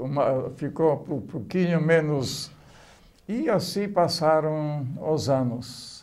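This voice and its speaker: A man talks at a very slow pace, his pitch fairly high with ordinary variation. Room echo is audible. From Poland. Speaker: oral history interviewee. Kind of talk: life story testimony. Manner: halting.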